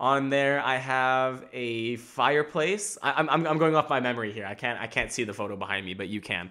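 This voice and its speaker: An animated man's voice at a medium pitch, bright and sharp in tone, with lively intonation and hardly any pauses, on a very clean recording with a silent background. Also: fairly quick pace. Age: 20s. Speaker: comedian and podcast host. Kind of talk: casual solo chat with stand-up bits. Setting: recorded on camera at home. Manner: fast; animated, laughing often.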